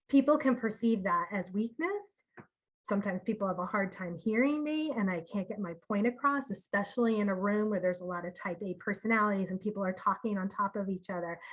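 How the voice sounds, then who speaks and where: A woman speaks at a very fast pace with ordinary pitch variation. Her voice is somewhat breathy. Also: medium pitch for a woman. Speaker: marketing communications director. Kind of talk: seminar presentation. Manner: soft-spoken.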